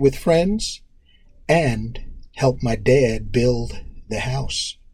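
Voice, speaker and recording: A man speaks at a very slow pace with an American accent. His voice is somewhat breathy. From New York City (Harlem, Queens, Long Island). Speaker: track coach and PE teacher. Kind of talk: interview. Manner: hesitant with many fillers.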